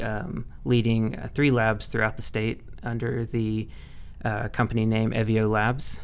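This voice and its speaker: Audible room echo surrounds a man's voice. He talks at medium pitch and a fairly slow pace. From Mississippi. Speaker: cannabis lab scientist. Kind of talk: interview.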